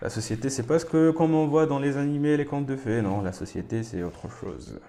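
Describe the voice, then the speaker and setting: A man talks at a moderate pace in a medium pitch. His tone is dark and mellow. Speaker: anime reaction youtuber. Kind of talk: anime reaction commentary. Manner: casual, chatty.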